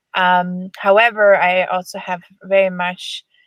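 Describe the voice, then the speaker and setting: A woman with a German accent talks at medium pitch, the sound dry and close with no echo. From Germany. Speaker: horse lunging coach. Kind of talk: webinar presentation. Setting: online webinar. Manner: halting, many fillers.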